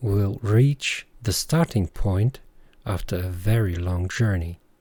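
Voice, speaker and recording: Speaking at a fairly slow pace with a German accent, a man has a somewhat breathy, dark, mellow tone and ordinary pitch variation. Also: very clean recording, silent background. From Germany. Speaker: podcast host. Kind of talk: reflective monologue.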